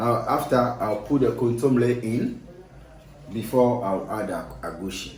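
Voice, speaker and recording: A man with a Ghanaian accent speaks at a medium pitch with fairly even intonation. Noticeable background noise and audible room echo are present. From Ghana, Accra. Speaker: cook. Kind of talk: cooking demonstration. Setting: kitchen.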